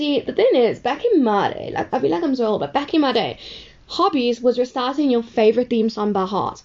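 A woman's high-pitched voice at a moderate pace, with very wide pitch swings and noticeable background noise. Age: young. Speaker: podcaster. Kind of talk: casual monologue. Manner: animated.

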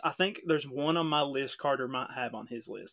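A man's fairly high, bright, sharp voice at a fairly quick pace. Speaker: podcast host. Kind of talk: casual chat.

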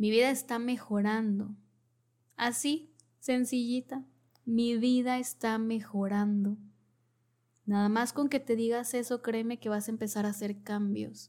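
A woman's somewhat breathy, warm-toned voice, fairly high in pitch and monotone, at a fairly slow pace with long, frequent pauses. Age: 30s. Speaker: podcast host, wellness/therapy speaker. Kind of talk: solo podcast monologue, motivational advice. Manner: warm, conversational.

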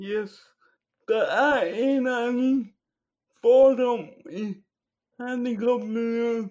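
A man speaks with an extremely high pitch and fairly even intonation. His pace is very slow, broken by long, frequent pauses. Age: 20s. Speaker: podcast guest. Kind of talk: casual chat.

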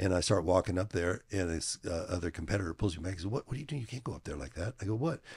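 A man with a very deep, low pitch talks at a very fast pace with hardly any pauses, his voice somewhat breathy and his intonation lively, on a very clean recording with a silent background. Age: 70s. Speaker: fitness equipment company executive and powerlifter. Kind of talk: casual interview. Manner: hesitant, many filler words.

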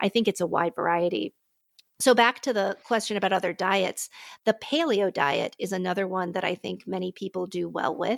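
A woman with a normal speaking voice talks at a medium pitch and a moderate pace with ordinary pitch variation, in a dry, close sound with no echo. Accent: American. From US, Pittsburgh. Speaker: physician. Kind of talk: interview conversation. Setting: remote call from her living room.

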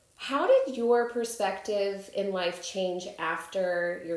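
A woman talks at a very slow pace with ordinary pitch variation. The recording carries audible room echo and noticeable background noise. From Chicago. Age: 30s. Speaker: podcast host. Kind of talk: casual interview chat.

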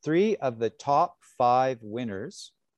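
Recorded dry and close with no echo against a quiet background, the speaker talks with a western Canadian accent. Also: man. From Canada, British Columbia. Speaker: luxury hotel manager. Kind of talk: interview. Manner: halting, with many repetitions.

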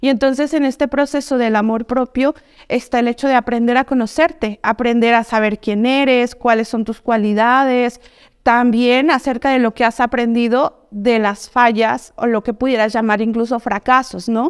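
A woman's high voice with fairly even intonation and a dry, close sound with no echo. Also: moderate pace. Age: 20s. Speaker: psychologist. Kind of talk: interview.

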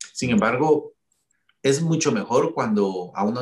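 A man's somewhat breathy voice at a fairly slow pace, with lively intonation. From Guatemala. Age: 40s. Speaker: cardiologist. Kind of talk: interview. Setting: video call.

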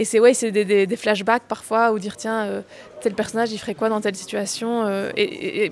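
This woman talks at a fairly quick pace with a fairly high pitch and fairly even intonation. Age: 20s. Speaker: actress and voice-over artist. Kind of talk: interview.

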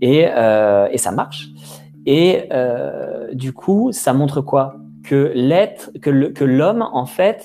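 A lively-toned man with a fairly high pitch. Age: 20s. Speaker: video creator and podcast host. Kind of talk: casual conversation. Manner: hesitant, many fillers.

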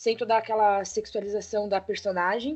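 A woman speaks at a fairly high pitch and a fairly quick pace. Her intonation stays monotone and flat. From Brazil, Santa Catarina (Brusque). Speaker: podcast co-host. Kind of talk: casual chat. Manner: quiet.

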